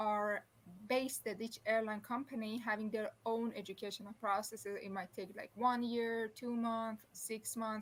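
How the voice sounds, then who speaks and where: A somewhat breathy voice with a Persian accent speaks at a moderate pace in a monotone, flat intonation. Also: woman. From Iran. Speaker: former flight attendant, aviation professor. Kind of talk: interview. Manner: halting, with many restarts.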